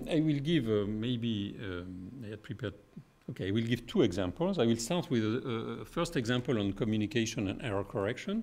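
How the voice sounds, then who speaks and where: A man with a French accent speaks at a fairly quick pace. His medium pitch moves with lively intonation. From France. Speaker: physicist. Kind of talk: lecture. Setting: stage with audience. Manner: halting. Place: hall. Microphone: podium.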